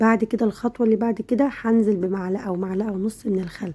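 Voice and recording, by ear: A woman speaks at a very fast pace with fairly even intonation. Her tone is dark and mellow with a husky, rough edge.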